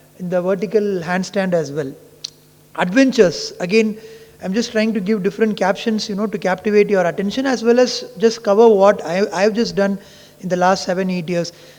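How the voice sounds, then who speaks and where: A man talks at a moderate pace with a high pitch and fairly even intonation. Noticeable background noise is present. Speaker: ophthalmologist. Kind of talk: conference talk.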